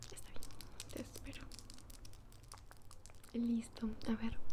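Noticeable background noise runs under a woman's speech. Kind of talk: soft personal-attention role-play talk. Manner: soft-spoken, gentle ASMR voice. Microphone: phone near.

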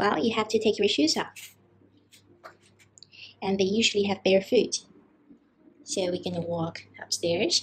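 A woman speaks in a somewhat breathy voice with ordinary pitch variation. She leaves long, frequent pauses. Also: fairly slow pace. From China. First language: Mandarin Chinese. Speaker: travel vlogger. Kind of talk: casual vlog talk to camera.

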